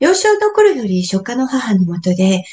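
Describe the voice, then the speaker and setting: A somewhat breathy woman's voice, fairly high in pitch, at a fairly slow pace. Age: 50s. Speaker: calligrapher. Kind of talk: interview.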